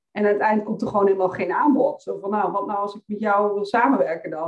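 This woman has a normal speaking voice at a medium pitch. Her intonation stays fairly even. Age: 30s. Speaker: financial coach for women entrepreneurs. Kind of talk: podcast interview.

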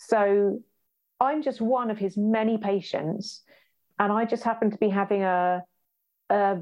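A woman's medium-pitched voice in a British accent, fairly slow with long, frequent pauses, fairly even intonation, and very even loudness. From UK. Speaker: patient telling a hospital story. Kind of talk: casual conversation.

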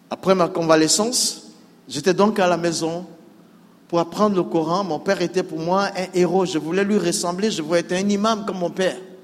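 With fairly even intonation and a moderate pace, a man speaks in a high pitch over noticeable background noise. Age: 60s. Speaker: pastor, former imam. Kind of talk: testimony. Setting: church with congregation.

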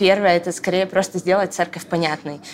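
At a fairly quick pace, a woman speaks in a plain, everyday voice with fairly even intonation. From Moscow region, Russia. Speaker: church media team leader. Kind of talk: casual chat. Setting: coffee shop.

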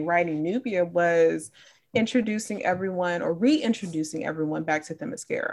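At a moderate pace, a woman speaks in an American accent with lively intonation. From Chicago, US Midwest. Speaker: comic book writer. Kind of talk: casual interview.

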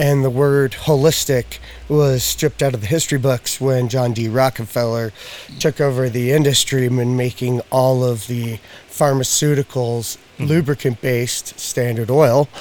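Amid noticeable background noise, a man with an American accent speaks with fairly even intonation. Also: medium pitch for a man, moderate pace. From Spokane, eastern Washington. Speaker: pet CBD product maker. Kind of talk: casual chat.

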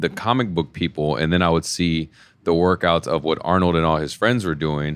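A man's very deep, low voice. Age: 30s. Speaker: bodybuilder and personal trainer. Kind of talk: interview.

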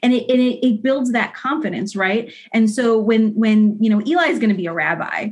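A woman's somewhat breathy voice moves at a moderate pace with ordinary pitch variation. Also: fairly high pitch for a woman. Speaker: mother, guest. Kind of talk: casual conversation. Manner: halting, repeats words.

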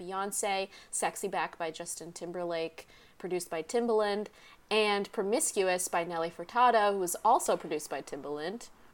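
In a very clean recording with a silent background, a woman talks at a moderate pace and medium pitch with ordinary pitch variation. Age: 30s. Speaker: podcast co-host. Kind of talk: casual chat.

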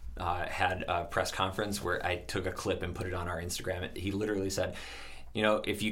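There is audible room echo as a man speaks. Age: 30s. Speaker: bakery or restaurant owner. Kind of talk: casual chat. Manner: halting.

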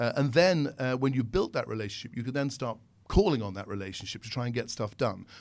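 A man speaks with a British accent at a very fast pace. His intonation is lively. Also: medium pitch for a man. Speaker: consultant, former airline staff. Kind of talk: interview, professional conversation.

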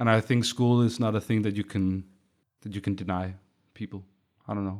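Talking very fast with fairly even intonation, a man at a medium pitch is heard on a very clean recording with a silent background. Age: 20s. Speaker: artist and teacher. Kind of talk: casual interview.

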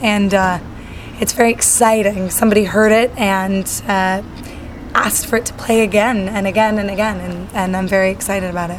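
A woman speaks at a medium pitch with an American accent, her intonation monotone and flat, with audible room echo and noticeable background noise. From Utah, then Southern California. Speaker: singer-songwriter. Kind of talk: casual interview. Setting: backstage at a music event. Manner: hesitant fillers, many ums.

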